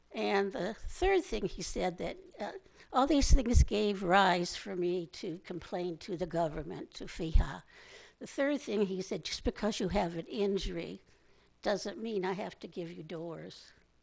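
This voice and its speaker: Against a quiet background, a woman talks fairly slowly at medium pitch with vocal fry, ordinary pitch variation and big swings in loudness. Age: 80s+. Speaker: public commenter. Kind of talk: public comment at council meeting. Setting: city council meeting.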